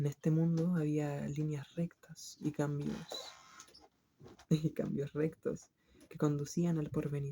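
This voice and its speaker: Soft-spoken and calm in tone, the voice moves at a very slow pace with long, frequent pauses. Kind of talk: literary book reading. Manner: soft-spoken, calm.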